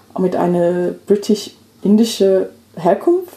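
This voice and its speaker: A fairly low-pitched woman's voice with fairly even intonation over noticeable background noise. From England, London. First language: English (speaking German). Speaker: activist and migration researcher. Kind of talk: casual chat. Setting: at home on a sofa.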